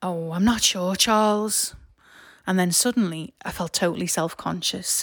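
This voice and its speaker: A normal speaking voice at a fairly slow pace, with fairly even intonation, on a very clean recording with a silent background. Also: woman. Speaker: storyteller, artist and podcaster. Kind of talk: personal storytelling narration.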